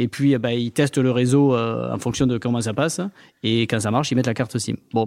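On a very clean recording with a silent background, a man of medium pitch speaks fairly quickly with fairly even intonation. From southern France. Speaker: entrepreneur. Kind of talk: interview.

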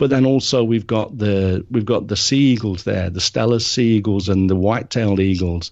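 A man with a British accent speaks at a moderate pace in a fairly low voice, with ordinary pitch variation and hardly any pauses. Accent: non-Japanese, British. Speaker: nature and wildlife photographer. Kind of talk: interview.

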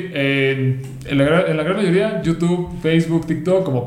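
A man in a Mexican accent speaks fairly slowly in a fairly high voice with ordinary pitch variation, over noticeable background noise and audible room echo. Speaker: doctor. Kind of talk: casual chat.

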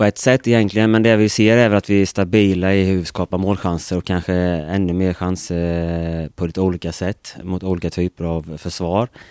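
Recorded with a dry, close sound and no echo, a man with a very deep, low voice talks at a moderate pace with fairly even intonation and hardly any pauses. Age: 40s. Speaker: football coach. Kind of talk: interview.

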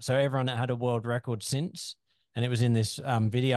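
Against a quiet background, a man with an Australian accent speaks at medium pitch in a dry, close sound with no echo. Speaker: podcast host. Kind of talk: casual chat.

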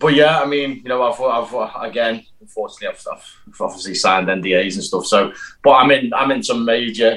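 This is a man speaking. He has a British accent. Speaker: actor and stunt performer. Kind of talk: casual interview chat.

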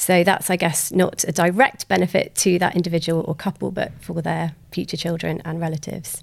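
Fairly quick, fairly even speech with vocal fry and hardly any pauses, on a very clean recording with a silent background. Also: woman, fairly low pitch for a woman. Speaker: genetic counselor. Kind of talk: casual interview.

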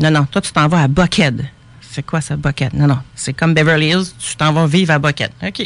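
A woman's very deep, low voice with vocal fry, in a Quebec accent, at a moderate pace. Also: ordinary pitch variation. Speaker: painter. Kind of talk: casual radio interview. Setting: radio studio.

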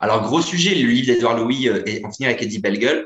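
A man talks at a very fast pace. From northern France. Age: 30s. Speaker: comedian. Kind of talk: casual chat. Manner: halting.

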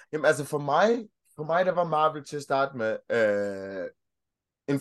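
Against a quiet background, a man speaks at a moderate pace. His pitch is fairly high and his intonation is lively. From Denmark. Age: 30s. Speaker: childcare worker and podcaster. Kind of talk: casual interview chat. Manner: hesitant, repeats words.

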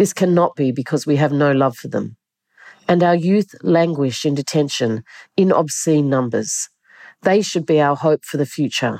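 Heard on a very clean recording with a silent background, a woman with a very deep, low, dark and mellow voice speaks at a moderate pace with ordinary pitch variation. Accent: Australian. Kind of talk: reading aloud.

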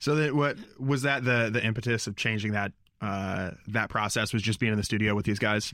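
A man with an ordinary speaking voice talks at a fairly quick pace, fairly low in pitch and fairly even in intonation, in a very clean recording with a silent background. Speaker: podcast host. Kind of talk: interview, casual conversation. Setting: band practice room.

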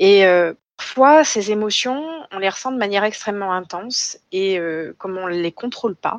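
A normal speaking voice goes at a moderate pace, with a dry, close sound and no echo. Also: woman. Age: 30s. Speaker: psychiatrist. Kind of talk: interview.

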